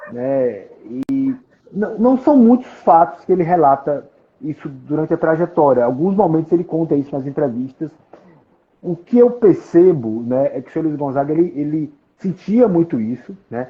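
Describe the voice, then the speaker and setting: A man with a Paraíba accent talks at a moderate pace. His fairly high voice makes very wide pitch swings. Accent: northeastern Brazilian (Paraíba). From Paraíba, Brazil. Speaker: collector and author on a folk musician. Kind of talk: interview on a live stream. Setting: online live stream. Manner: halting, many repetitions.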